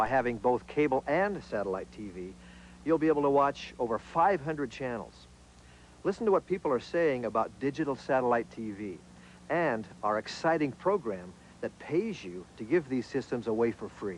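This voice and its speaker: Here a man speaks at a moderate pace. His pitch swings very widely. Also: medium pitch for a man. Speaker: spokesperson. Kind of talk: TV commercial read.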